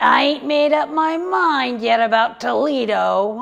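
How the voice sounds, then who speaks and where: In a put-on character voice, a woman speaks slowly, fairly so, at a high pitch. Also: ordinary pitch variation. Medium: stage play. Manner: gruff, stubborn.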